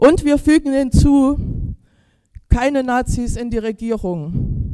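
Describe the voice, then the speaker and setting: A woman talks at a very slow pace in a high pitch. Her pitch variation is ordinary. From Chemnitz, Saxony. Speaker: anti-racism activist. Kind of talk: rally speech. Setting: stage with audience.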